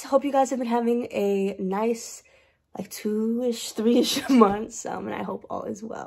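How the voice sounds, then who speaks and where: A woman talks at a moderate pace, and the background is quiet. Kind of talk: casual vlog chat. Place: office. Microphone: webcam.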